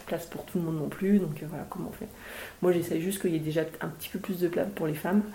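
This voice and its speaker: A woman's very fast, fairly low-pitched speech with fairly even intonation, amid audible room echo and noticeable background noise. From Haute-Savoie, France. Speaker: mountaineer and mountain guide, author. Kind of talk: casual interview at a book talk. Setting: live event with audience.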